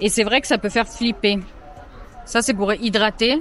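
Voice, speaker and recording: Fairly slow, fairly high-pitched female speech with music in the background. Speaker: travel vlogger. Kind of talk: casual vlog. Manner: animated.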